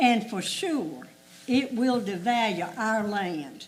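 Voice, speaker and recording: In a Southern US accent, a woman speaks with audible room echo and noticeable background noise. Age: 80s+. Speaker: local resident speaking at public hearing. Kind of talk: public comment at hearing.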